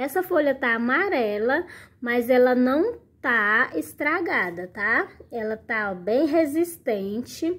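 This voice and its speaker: Very slow and high-pitched, a woman speaks with very wide pitch swings. The recording is very clean, with a silent background. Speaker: plant care video creator. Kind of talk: casual tutorial. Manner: animated.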